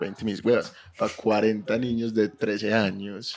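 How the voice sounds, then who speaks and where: Speaking in an Antioquian accent, a man uses a fairly low pitch. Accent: Colombian paisa Spanish. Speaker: podcast co-host. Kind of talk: casual chat.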